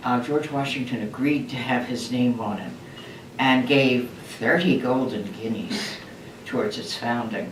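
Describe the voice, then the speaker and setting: With an American accent, a woman speaks at a fairly slow pace in a very deep, low voice, with audible room echo and noticeable background noise. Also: ordinary pitch variation. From US, Maryland Eastern Shore. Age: 80s+. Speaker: retired nurse consultant. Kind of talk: oral history interview. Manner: halting.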